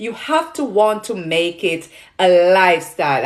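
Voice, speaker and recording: In a Jamaican accent, a woman speaks with lively intonation. Her voice sits fairly low in pitch. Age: 40s. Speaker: nutrition product seller and health influencer. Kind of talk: livestream chat with viewers. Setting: livestream on social media. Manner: halting, many fillers.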